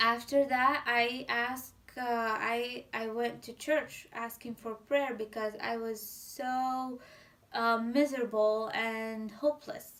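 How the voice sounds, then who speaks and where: Her intonation stays monotone and flat. The woman talks at a very slow pace. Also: fairly high pitch for a woman. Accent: Syrian. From Syria. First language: Arabic. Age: 20s. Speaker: civil engineer. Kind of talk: interview answer.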